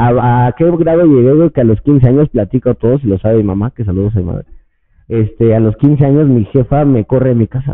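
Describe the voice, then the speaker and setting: Pitch rises and falls an ordinary amount in an ordinary speaking voice. The words come fairly quickly. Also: man, medium pitch for a man. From Mexico, Estado de México. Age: 30s. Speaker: cannabis podcaster and influencer. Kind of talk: casual chat.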